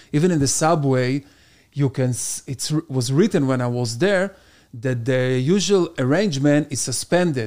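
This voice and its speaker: A man with an Israeli accent at a moderate pace, on a very clean recording with a silent background. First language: Hebrew. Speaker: stand-up comedian. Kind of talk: casual chat.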